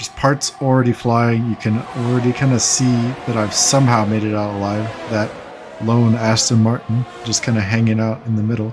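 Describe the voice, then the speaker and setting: Over music in the background, a man talks at a moderate pace and medium pitch in a relaxed tone with monotone, flat intonation. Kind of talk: gameplay commentary. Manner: casual, relaxed.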